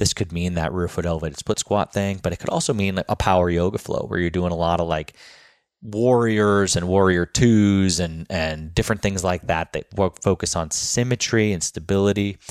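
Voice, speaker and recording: A man with a very deep, low pitch talks at a moderate pace with fairly even intonation, the sound dry and close with no echo on a very clean recording with a silent background. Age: 30s. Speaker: fitness coach and podcast host. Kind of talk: casual solo podcast monologue. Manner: hesitant with frequent fillers.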